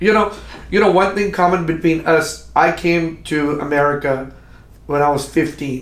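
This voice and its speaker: A man's fairly high voice at a moderate pace, with long, frequent pauses and audible room echo. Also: ordinary pitch variation. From Pakistan. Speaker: podcast host. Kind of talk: interview. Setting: studio. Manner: halting, many repetitions.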